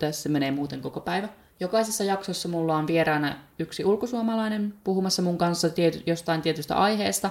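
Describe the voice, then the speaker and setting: Fairly low in pitch, a woman talks at a moderate pace with ordinary pitch variation. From Finland, Päijät-Häme. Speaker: podcast host. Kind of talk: solo podcast monologue. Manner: chatty.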